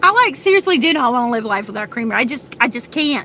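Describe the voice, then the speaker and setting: A woman speaks in a raised, projected voice at a high pitch, with an animated tone and very wide pitch swings, over noticeable background noise. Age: 40s. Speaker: vlogger and homeschooling mom. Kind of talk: casual chat. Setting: in a car.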